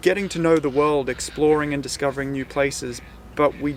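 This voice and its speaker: Man with an Australian accent and a fairly high pitch. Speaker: sailing vlogger. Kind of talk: vlog introduction, casual talk to camera. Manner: hesitant, many fillers.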